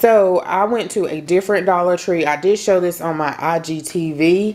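A woman's fairly low voice at a fairly slow pace with fairly even intonation. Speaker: home decor haul vlogger. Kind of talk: casual vlog chat. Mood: cheerful, chatty. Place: home room. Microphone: phone near.

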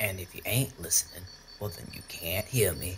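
A man puts on a raspy character voice with a very deep, low pitch, speaking at a fairly slow pace over clear background noise. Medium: audio drama. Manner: cocky, crude, folksy.

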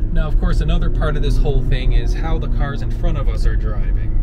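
Loud background noise fills the recording. A man speaks at a very fast pace. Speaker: train-chasing vlogger. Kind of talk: casual vlog chat. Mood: playful, mildly impatient. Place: car. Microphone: phone near.

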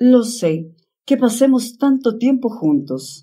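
The voice moves at a very slow pace with very wide swings in pitch. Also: woman. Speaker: audiobook narrator. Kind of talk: bedtime story reading, ASMR-style narration of a literary tale. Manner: slow, soft-spoken, calm and soothing pace.

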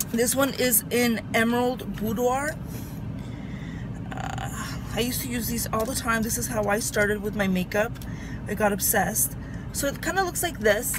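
Long, frequent pauses break up a woman's moderate-paced speech, which has ordinary pitch variation, a dry sound with no echo, and noticeable background noise. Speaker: beauty vlogger. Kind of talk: tutorial. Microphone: phone near.

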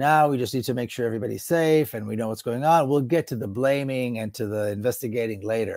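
With hardly any pauses, a man races along at a very fast pace with ordinary pitch variation, in a dry sound with no echo against a quiet background. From Israel, Jerusalem; Israel. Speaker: political activist and author; interview guest. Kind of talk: interview. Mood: serious, intense. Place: home room. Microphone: earbuds.

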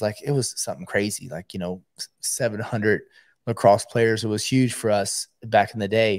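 Over a quiet background, a man speaks at a moderate pace with fairly even intonation, the sound dry with no echo. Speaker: podcast co-host. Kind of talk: casual podcast storytelling. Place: home room. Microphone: studio mic.

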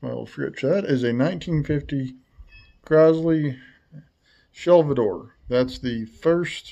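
A man speaks slowly with a fairly high pitch and ordinary pitch variation. His tone is dark and mellow, with vocal fry.

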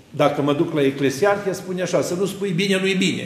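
A high-pitched man at a moderate pace, with ordinary pitch variation and audible room echo. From Romania. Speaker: Orthodox priest. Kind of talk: sermon. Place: church.

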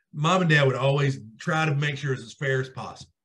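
The man's voice sounds somewhat breathy, with ordinary pitch variation. The background is quiet. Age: 40s. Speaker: podcast co-host, sports talk. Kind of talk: casual chat. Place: home room. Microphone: video call.

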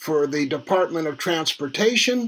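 A man with lively intonation. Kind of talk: phone call. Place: home room. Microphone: webcam.

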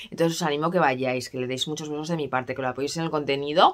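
Her pitch moves with ordinary variation as the woman talks. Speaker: perfume vlogger. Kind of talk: casual vlog chat. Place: home room. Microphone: phone near.

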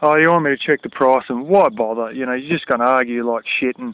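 The sound is dry, with no echo. A man talks at a fairly quick pace. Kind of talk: casual vlog rant. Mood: irritated, complaining. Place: open country. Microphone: phone near.

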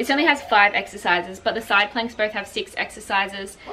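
A woman rattles along very fast while noticeable background noise carries on behind her. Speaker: fitness vlogger. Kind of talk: casual vlog chat. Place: garden. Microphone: camera far.

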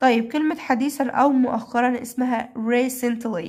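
A woman with an Egyptian accent speaks at a very slow pace in a high pitch. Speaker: English teacher for primary pupils. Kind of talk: lesson tutorial. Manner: repetitive drilling of words.

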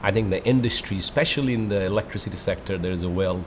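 A man speaks with ordinary pitch variation. Noticeable background noise can be heard behind him. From Bangladesh. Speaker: energy research executive. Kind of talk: interview over lunch. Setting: restaurant. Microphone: lapel.

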